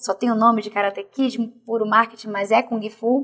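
This woman has a normal speaking voice, with fairly high pitch, fairly even intonation and a fairly slow pace. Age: 40s. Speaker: martial arts athlete and fitness coach. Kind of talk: interview testimony.

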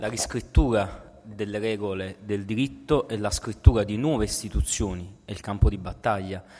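A man's fairly low, dark and mellow voice with vocal fry, ordinary pitch variation, big swings in loudness and a moderate pace, on a very clean recording with a silent background. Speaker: political philosophy scholar and activist. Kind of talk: lecture.

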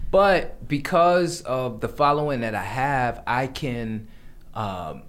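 In an American accent, a man talks at a very slow pace with lively intonation, and the room echo is audible. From New York, the Bronx. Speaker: menswear designer and stylist. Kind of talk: casual chat.

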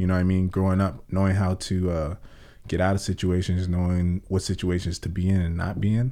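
A man with an American accent speaks at a very deep, low pitch in a dark, mellow tone, his intonation monotone and flat. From Oxnard, California. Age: 30s. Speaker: security guard and amateur musician. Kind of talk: casual chat. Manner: casual, hesitant with fillers.

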